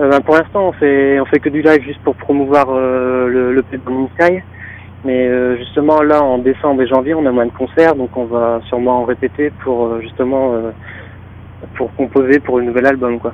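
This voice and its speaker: Over noticeable background noise, a man in a northern French accent speaks fairly slowly at a medium pitch, his intonation fairly even. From northern France. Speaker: rock band guitarist. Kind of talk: interview. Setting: phone call.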